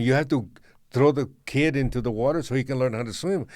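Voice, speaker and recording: Speaking with a Spanish accent, a man has a fairly high pitch and ordinary pitch variation. His pace is fairly quick, in a very clean recording with a silent background. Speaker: podcast co-host. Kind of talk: casual chat.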